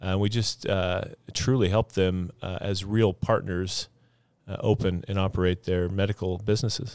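A man with a normal speaking voice, fairly low in pitch, at a moderate pace with fairly even intonation, on a very clean recording with a silent background. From Idaho, moved from Texas at ten. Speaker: physical therapist and clinic business owner. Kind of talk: casual interview. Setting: studio.

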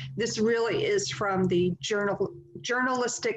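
Speaking in an unremarkable speaking voice, a woman has an American accent. Her pace is fairly slow and her intonation fairly even. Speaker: podcast host. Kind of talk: casual chat.

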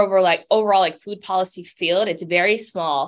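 This woman has an American accent and a medium pitch. The background is quiet. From Cambridge, Massachusetts. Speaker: food justice advocate. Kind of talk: interview.

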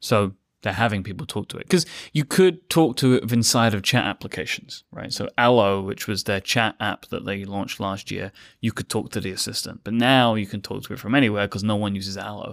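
Here a man with an unremarkable speaking voice talks at a fairly quick pace and fairly low pitch. The sound is dry and close with no echo, on a very clean recording with a silent background. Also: ordinary pitch variation. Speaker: podcast network co-founder. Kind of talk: casual panel chat.

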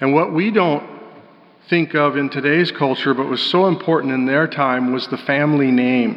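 Over noticeable background noise, a man with a General American accent talks at a moderate pace in a fairly high pitch. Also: ordinary pitch variation. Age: 60s. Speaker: pastor. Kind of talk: sermon. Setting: church.

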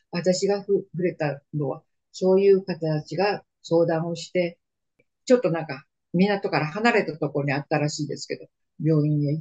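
Somewhat breathy and very deep, a woman's low voice moves at a moderate pace with ordinary pitch variation in a dry, close sound with no echo. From Manchuria (northeast China). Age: 80s+. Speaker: war survivor and storyteller. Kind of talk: oral history interview. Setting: video call.

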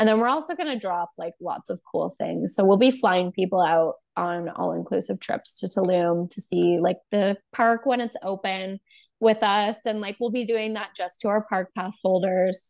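In a Canadian accent, a woman with a normal speaking voice and medium pitch talks at a moderate pace with ordinary pitch variation, the sound dry and close with no echo over a quiet background. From Alberta, Canada (Calgary). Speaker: makeup artist and entrepreneur. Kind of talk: casual interview.

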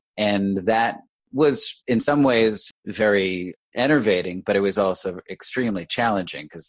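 In an ordinary speaking voice, a man of fairly low pitch talks at a moderate pace with ordinary pitch variation against a quiet background. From New York, Westchester County. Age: 50s. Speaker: real estate broker. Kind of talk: interview.

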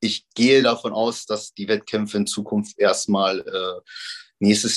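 A man talks at a moderate pace, the sound dry and close with no echo, over a quiet background. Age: 30s. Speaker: professional bodybuilder. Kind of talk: casual interview.

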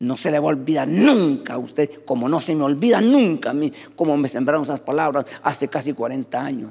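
Here is a plain, everyday voice from a man, fairly high in pitch with ordinary pitch variation. He talks at a fairly quick pace with hardly any pauses. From rural Latin America. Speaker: pastor. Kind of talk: sermon.

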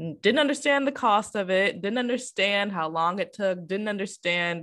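A woman's medium-pitched voice with an American accent, an ordinary speaking voice, moderate pace and lively intonation. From Michigan. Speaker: podcast host. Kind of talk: casual chat. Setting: video call.

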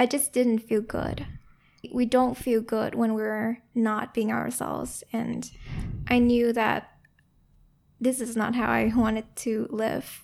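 A woman with a gentle tone speaks at a very slow pace, with long, frequent pauses. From Vietnam. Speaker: founder of a conversation-tools company. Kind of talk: reflective interview conversation. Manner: soft-spoken, gentle, slow.

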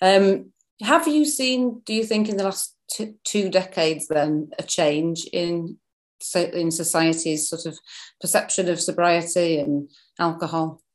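Against a quiet background, a woman with an English accent speaks at a fairly slow pace, her fairly low pitch showing ordinary variation. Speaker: podcast host and website founder. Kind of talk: interview.

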